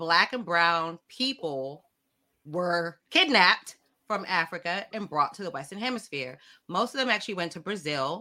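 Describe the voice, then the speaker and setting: With a bright, sharp tone and an animated manner, a woman speaks at a moderate pace in a fairly low pitch, her intonation lively. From South Florida (born in London, Jamaican parents). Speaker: author and social justice advocate. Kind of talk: interview conversation.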